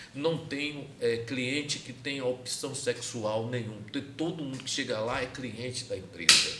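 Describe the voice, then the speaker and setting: A man's medium-pitched voice with lively intonation, audible room echo and noticeable background noise. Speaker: podcast host. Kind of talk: casual chat.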